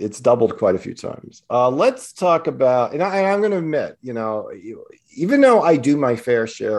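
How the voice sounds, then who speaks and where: A man with an ordinary speaking voice talks at a fairly quick pace with lively intonation against a quiet background. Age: 50s. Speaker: financial planner and podcast host. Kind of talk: casual chat.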